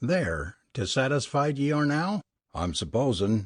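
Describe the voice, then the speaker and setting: Over a quiet background, a man does a put-on character voice, raspy and at medium pitch. He moves at a fairly slow pace with very wide pitch swings. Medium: read story.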